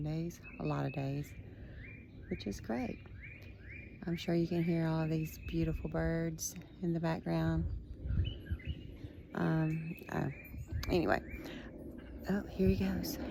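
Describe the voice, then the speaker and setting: A woman speaks at a fairly slow pace, leaving long, frequent pauses. Her voice carries an audible room echo. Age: 50s. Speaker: vlogger, retired teacher. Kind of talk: casual vlog. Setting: outdoors on back deck.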